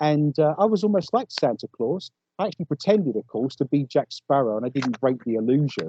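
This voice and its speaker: Lively intonation carries speech in an English accent. The pace is fairly quick. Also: man. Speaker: paranormal investigator. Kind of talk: casual interview chat.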